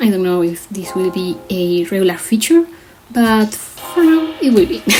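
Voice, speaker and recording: A woman with a non-native accent speaks at medium pitch and a moderate pace, her pitch swinging very widely. Music plays behind her. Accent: non-native English pronunciation. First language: Spanish. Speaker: artist vlogger. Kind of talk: casual commentary over drawing. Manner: casual, slightly hesitant.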